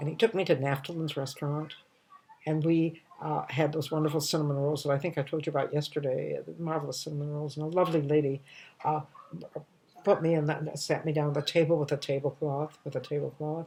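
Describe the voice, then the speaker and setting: A woman's very deep, low voice at a very fast pace, with monotone, flat intonation over noticeable background noise. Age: 80s+. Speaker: comedian. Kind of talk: storytelling monologue. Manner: warm, nostalgic; halting.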